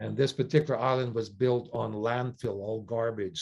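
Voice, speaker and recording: Here a man has a normal speaking voice, medium in pitch, with a Canadian accent. He keeps a moderate pace and fairly even intonation. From Canada. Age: 60s. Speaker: sailor and non-profit leader. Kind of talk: interview.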